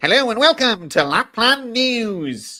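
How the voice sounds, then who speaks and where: A put-on character voice is pitched fairly high. It moves at a fairly slow pace. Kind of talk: news presenter. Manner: cheery, high-pitched.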